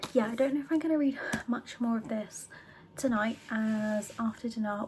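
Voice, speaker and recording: A soft-spoken woman with a British accent, fairly high in pitch and with ordinary pitch variation, against noticeable background noise. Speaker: book vlogger. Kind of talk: casual vlog talk. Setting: home book room.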